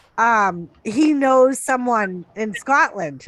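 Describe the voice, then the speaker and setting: A woman is speaking. She has a Boston accent. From Massachusetts, Lowell area. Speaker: live stream co-host. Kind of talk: casual chat. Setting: live stream.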